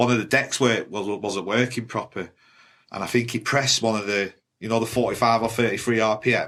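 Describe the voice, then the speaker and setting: Over a silent background in a very clean recording, a man speaks at a fairly quick pace and medium pitch. His intonation is monotone and flat. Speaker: rave MC. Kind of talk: casual chat. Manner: direct.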